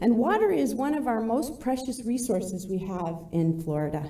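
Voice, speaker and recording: With noticeable background noise and audible room echo, a woman speaks at a moderate pace with ordinary pitch variation. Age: 50s. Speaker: environmental advocate. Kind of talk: public comment at council meeting.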